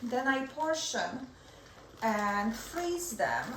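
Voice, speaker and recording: Very wide pitch swings mark a woman's voice with a non-native accent, heard through audible room echo and noticeable background noise. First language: not English. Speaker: cooking channel host. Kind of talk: cooking tutorial.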